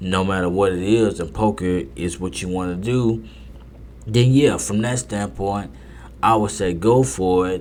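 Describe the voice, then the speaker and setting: A man with a very deep, low pitch speaks at a fairly slow pace with very wide pitch swings. Room echo is audible. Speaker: poker podcast host. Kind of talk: casual monologue. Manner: repetitive, halting; stuttering.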